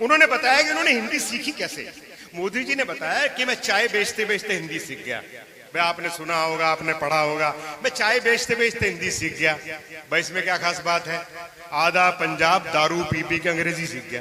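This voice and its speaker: A man with a Punjabi accent speaks in a high pitch with lively intonation over noticeable background noise. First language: Punjabi (speaking Hindi). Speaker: comic poet. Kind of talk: stand-up. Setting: stage with audience. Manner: animated.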